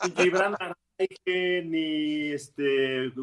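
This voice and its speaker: A man with a Mexican accent, fairly high pitch and fairly even intonation, against noticeable background noise. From Mexico. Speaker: football pundit. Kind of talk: casual chat.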